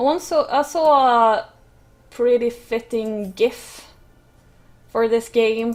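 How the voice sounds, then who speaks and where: Speaking very slowly with long, frequent pauses, a woman keeps a high pitch and ordinary pitch variation. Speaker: gaming YouTuber. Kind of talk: let's play commentary. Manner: hesitant, many fillers.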